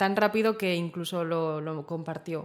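On a very clean recording with a silent background, a woman speaks at a fairly low pitch in a monotone, flat intonation. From Spain, Zaragoza. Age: 20s. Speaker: interview guest. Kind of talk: interview, personal story.

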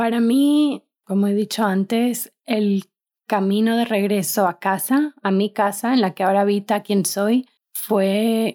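In a dry, close sound with no echo and a silent background on a very clean recording, a woman with a dark, mellow tone and medium pitch talks at a very slow pace with ordinary pitch variation. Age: 20s. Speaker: podcast co-host. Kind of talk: casual conversational podcast.

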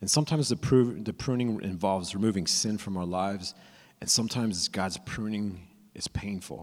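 Speaking at a fairly quick pace in an ordinary speaking voice, a man with an American accent has a fairly low pitch and ordinary pitch variation on a very clean recording with a silent background. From California. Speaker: young adult ministry preacher. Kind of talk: sermon. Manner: casual, with frequent repeats and fillers.

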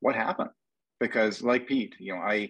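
A man with a Canadian accent talks in a plain, everyday voice at a fairly quick pace and fairly low pitch, over a quiet background. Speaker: podcast co-host and ultra runner. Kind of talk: casual roundtable conversation. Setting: phone or video call.

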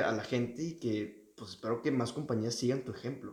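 Speaking at a moderate pace, a man's medium-pitched, somewhat breathy voice holds a fairly even intonation. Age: young. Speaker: podcast co-host, student on gap year. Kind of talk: casual chat.

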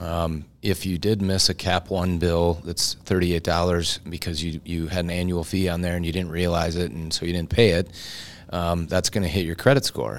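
The recording is very clean, with a silent background. The speaker has an American accent and talks at a moderate pace. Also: man, very deep, low pitch for a man, fairly even intonation. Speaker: mortgage broker. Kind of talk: casual chat. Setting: studio.

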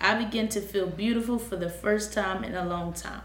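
A normal speaking voice from a woman, moderate in pace, with ordinary pitch variation. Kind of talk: interview.

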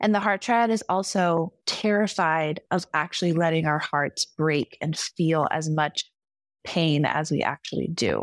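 On a very clean recording with a silent background, a woman speaks fairly slowly at a fairly low pitch. Her pitch varies in an ordinary way, her loudness is very even, and the sound is dry and close with no echo. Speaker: enneagram coach. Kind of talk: casual chat.

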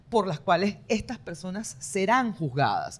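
Speaking at a fairly slow pace, a woman uses a medium pitch. Her tone is animated, with very wide pitch swings. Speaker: political commentary podcast co-host. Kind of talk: casual political discussion.

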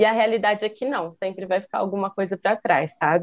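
A woman speaks at medium pitch. The sound is dry and close, with no echo. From Campinas, São Paulo state, Brazil. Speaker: graphic designer and dancer. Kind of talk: casual chat.

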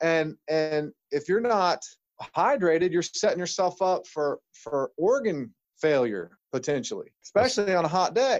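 Speaking with an American accent, a man talks at a moderate pace with a high pitch and lively intonation. His loudness is very even, and the sound is dry and close with no echo. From Ohio, US Midwest. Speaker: chiropractor. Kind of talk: interview.

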